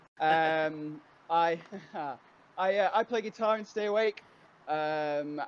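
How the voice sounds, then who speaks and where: A man with a Yorkshire accent and a fairly high pitch, talking at a fairly slow pace against a quiet background. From northern England, Yorkshire, Huddersfield. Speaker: guitarist in a band. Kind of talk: casual chat.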